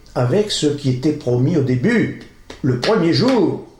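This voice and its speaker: Audible room echo surrounds this voice. The man's tone is dark and mellow. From northern France, Pas-de-Calais. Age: 60s. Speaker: local election candidate. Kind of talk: political campaign speech. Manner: informal, conversational.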